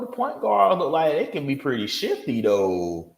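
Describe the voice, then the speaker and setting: Audible room echo surrounds a man as he speaks. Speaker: video game streamer. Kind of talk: livestream reaction commentary. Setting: livestream. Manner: casual, rambling; loud.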